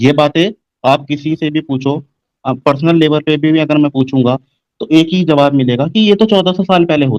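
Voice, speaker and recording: In an ordinary speaking voice, a man speaks at a moderate pace and a fairly high pitch with ordinary pitch variation, the sound dry and close with no echo. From India. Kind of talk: casual debate discussion.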